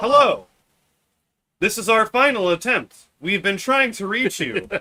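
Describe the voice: Putting on a robotic character voice, a man speaks at a moderate pace and a high pitch.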